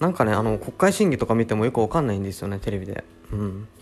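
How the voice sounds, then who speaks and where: Here a man speaks at a very fast pace. His pitch is fairly low, with ordinary pitch variation. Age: 20s. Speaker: podcast host. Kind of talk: casual chat. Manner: relaxed; hesitant.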